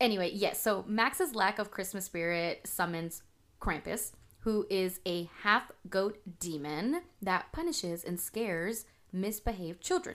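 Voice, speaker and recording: A woman with a plain, everyday voice speaks at a fairly slow pace, her medium pitch showing ordinary variation. The recording is very clean, with a silent background. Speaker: podcast co-host. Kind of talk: casual chat.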